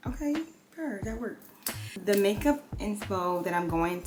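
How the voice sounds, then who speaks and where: A woman with an American accent speaks at a medium pitch with lively intonation over music in the background. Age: 20s. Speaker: beauty and lifestyle vlogger. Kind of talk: casual chat while doing makeup. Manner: chatty, many fillers.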